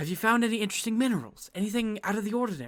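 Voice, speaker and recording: A put-on character voice rattles along at a very fast pace with a fairly high pitch. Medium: actual play. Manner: curious, friendly.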